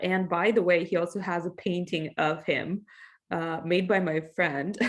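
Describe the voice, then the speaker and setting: Monotone, flat intonation in a Russian accent at a moderate pace. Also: woman. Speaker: English teacher. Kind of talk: class introduction. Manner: casual, conversational.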